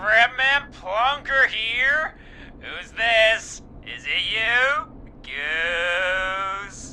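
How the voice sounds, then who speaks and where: Over clear background noise, a man puts on a character voice, raised and projected, high in pitch, with lively intonation and a very slow pace. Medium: video game. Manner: drawling, relaxed.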